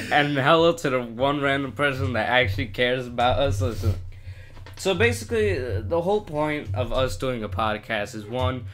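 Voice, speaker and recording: A man at medium pitch and a moderate pace, with ordinary pitch variation. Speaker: podcast co-host. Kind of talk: casual chat. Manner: halting, many pauses.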